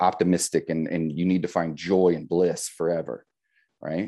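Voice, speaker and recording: A man speaks with an American accent. His voice is very deep and low, with a dark, mellow tone. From US Midwest, rural Indiana. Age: 30s. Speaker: life coach. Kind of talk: casual interview conversation.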